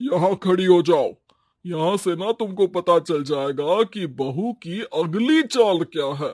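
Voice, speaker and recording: A man's cartoonish character voice, high in pitch, at a fairly slow pace with ordinary pitch variation. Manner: dry, wry.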